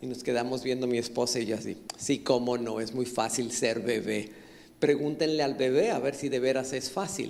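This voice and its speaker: Audible room echo surrounds a man who speaks with fairly even intonation. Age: 60s. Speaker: pastor. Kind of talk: sermon. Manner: halting.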